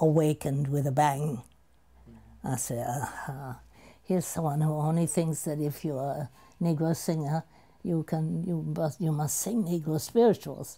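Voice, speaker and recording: A woman with a very deep, low pitch and a dark, mellow tone speaks at a fairly slow pace, somewhat breathy, with ordinary pitch variation. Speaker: opera singer, soprano. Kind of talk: interview answer.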